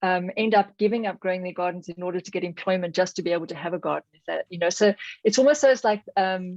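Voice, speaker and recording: In a South African accent, the speaker goes at a very fast pace, with a dry, close sound and no echo. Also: woman, medium pitch for a woman, ordinary pitch variation. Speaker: audience participant in academic webinar. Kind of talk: discussion question. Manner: halting, many fillers and restarts.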